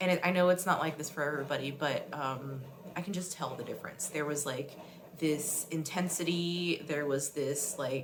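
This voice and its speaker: A woman's very deep, low voice at a moderate pace, fairly even in intonation, with audible room echo and noticeable background noise. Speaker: artist and roller derby vlogger. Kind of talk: vlog monologue. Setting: bathroom at night. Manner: hesitant, many fillers; soft-spoken, low. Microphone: too quiet, barely audible.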